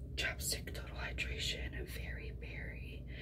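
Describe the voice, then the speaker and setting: Soft-spoken and whispering, the voice moves at a very slow pace over loud background noise. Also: woman. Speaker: beauty vlogger. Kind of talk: ASMR get-ready-with-me makeup video, whispered talk to camera. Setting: home bathroom with background noise. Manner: soft-spoken, whispered, repetitive, casual. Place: bathroom. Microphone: phone near.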